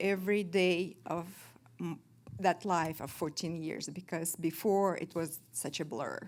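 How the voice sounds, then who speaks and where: A woman with a Russian accent, fairly low in pitch and fairly even in intonation, at a fairly slow pace, on a very clean recording with a silent background. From Kazakhstan. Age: 50s. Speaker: recovering alcoholic sharing her story. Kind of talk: testimony. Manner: halting, many fillers.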